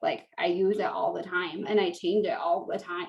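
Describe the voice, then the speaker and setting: Here is a plain, everyday voice from a woman. She speaks at a moderate pace and a medium pitch. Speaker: direct sales team leader. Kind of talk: tutorial.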